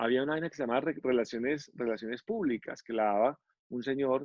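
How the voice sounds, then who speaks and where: A man speaks with a Paisa accent. His pitch is medium. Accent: Paisa, drawling. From Antioquia, Colombia. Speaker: TV presenter. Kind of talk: interview answer. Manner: casual, candid.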